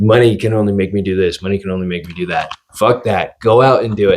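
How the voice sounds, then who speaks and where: In a fairly low voice, a man speaks with lively intonation. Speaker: podcast co-host. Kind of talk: casual chat. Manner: fast; animated.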